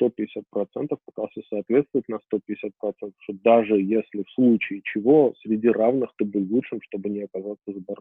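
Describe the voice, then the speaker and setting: In an unremarkable speaking voice, a man talks at a fairly slow pace with ordinary pitch variation. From Armenia. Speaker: IT company founder, programmer. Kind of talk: interview.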